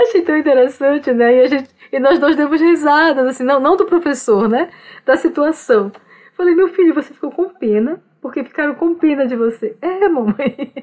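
A woman talks at a moderate pace in a high voice with lively intonation. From Brazilian Amazon, Omágua Kambeba people. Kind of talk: casual interview conversation. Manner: repetitive, halting.

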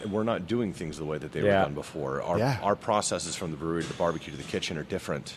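A very fast pace with hardly any pauses and ordinary pitch variation, over noticeable background noise. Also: man, very deep, low pitch for a man. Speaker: brewery co-owner, runs the barbecue.

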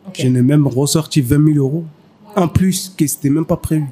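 Fairly rapid male speech with clear background noise. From Mali. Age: 30s. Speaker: pastry chef. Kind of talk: interview. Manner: halting.

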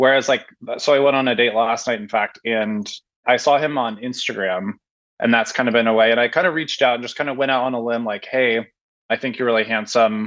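Speaking with an American accent, a man uses an ordinary speaking voice at a medium pitch, with fairly even intonation and a fairly quick pace. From Portland, Oregon. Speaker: caller. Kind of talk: advice call. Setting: video call.

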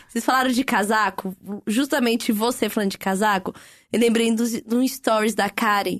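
Speaking at a moderate pace, a woman has a plain, everyday voice with a fairly high pitch. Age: 30s. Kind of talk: casual chat.

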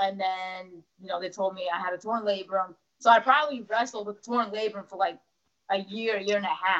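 In a plain, everyday voice with an American accent, a woman speaks at a moderate pace with medium pitch, fairly even intonation and big swings in loudness. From New Jersey. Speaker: professional wrestler. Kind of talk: casual interview.

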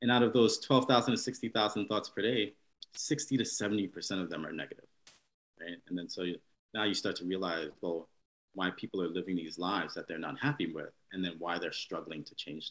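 A normal speaking voice goes at a moderate pace with lively intonation and big swings in loudness. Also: man, fairly low pitch for a man. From New York. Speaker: neurologist. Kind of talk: interview.

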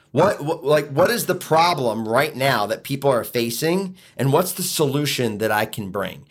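A man with an American accent, fairly high in pitch, with lively intonation at a moderate pace. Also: hardly any pauses. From Philadelphia, US. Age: 40s. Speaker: inspirational speaker and author. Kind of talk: podcast interview.

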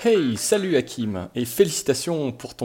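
This man has a dark, mellow tone and a fairly slow pace. His pitch swings very widely. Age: 20s. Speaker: listener. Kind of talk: voicemail message.

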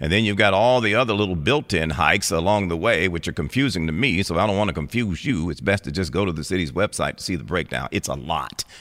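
A man speaks at a very fast pace with hardly any pauses, his very deep, low voice showing vocal fry. His intonation is lively, on a very clean recording with a silent background. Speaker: radio news anchor. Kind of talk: radio news anchor reading a brisk, scripted local headline bulletin. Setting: radio studio. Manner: crisp, formal, steady newsreader delivery.

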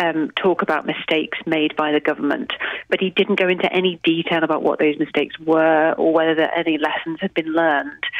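An unremarkable speaking voice at a fairly quick pace, with fairly even intonation and very even loudness. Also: woman, fairly low pitch for a woman. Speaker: political reporter. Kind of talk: news reporting.

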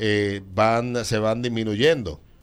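A man speaks in a Dominican accent at a fairly low pitch. His pace is very slow. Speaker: radio host. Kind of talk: casual chat.

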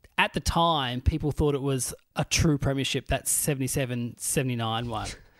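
The sound is dry and close, with no echo, on a very clean recording with a silent background. The pace is moderate. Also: man. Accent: Australian. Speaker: comedian and podcast host. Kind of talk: casual chat.

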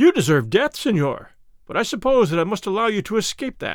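Putting on a character voice, a man speaks high-pitched at a fairly quick pace with very wide pitch swings.

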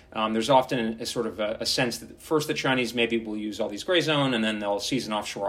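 A man with a normal speaking voice, medium pitch, ordinary pitch variation and a fairly quick pace, on a very clean recording, silent background. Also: hardly any pauses, big swings in loudness. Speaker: defence strategist. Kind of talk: interview.

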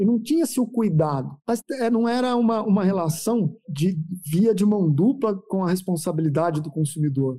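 A man with a high pitch and a dark, mellow tone speaks at a moderate pace with lively intonation. The recording is very clean, with a silent background. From interior of São Paulo state, Brazil. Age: 40s. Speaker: veterinarian and agribusiness marketing executive. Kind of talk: interview. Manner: halting, frequent word repetitions.

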